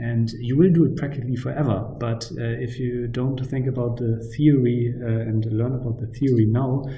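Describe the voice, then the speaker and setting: A man at a moderate pace, medium-pitched with fairly even intonation, amid noticeable background noise and audible room echo. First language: not English. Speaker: university lecturer. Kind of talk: lecture. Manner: hesitant, many fillers.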